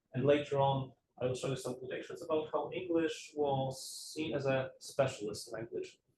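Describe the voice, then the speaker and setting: Somewhat breathy, a man with a Polish accent talks at a fairly high pitch with fairly even intonation. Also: moderate pace. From Poland. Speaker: game studies researcher. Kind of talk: lecture. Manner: halting.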